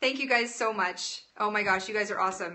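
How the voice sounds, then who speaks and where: A woman with a Canadian accent, animated tone, lively intonation and moderate pace. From Alberta, Canada. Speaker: live-stream cooking host. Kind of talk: casual live-stream chat. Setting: home kitchen, live stream.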